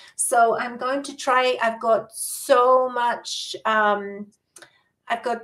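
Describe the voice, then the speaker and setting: Her pitch is fairly high, and her intonation is monotone and flat. The woman speaks at a very slow pace. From New Zealand. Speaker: vlogger. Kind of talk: casual chat.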